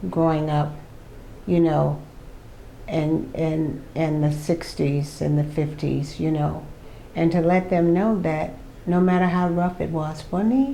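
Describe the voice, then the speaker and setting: A woman's fairly low voice with an American accent, at a fairly slow pace, with ordinary pitch variation, very even loudness and audible room echo. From Miami, South Florida. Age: 70s. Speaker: senior track athlete. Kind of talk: interview. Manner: animated, frequent fillers.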